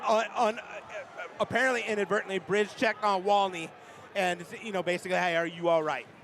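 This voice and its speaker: Over noticeable background noise, a man with a high pitch talks in an animated tone at a moderate pace. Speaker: hockey play-by-play commentator. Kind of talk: live commentary; casual chat. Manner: animated, halting with many fillers.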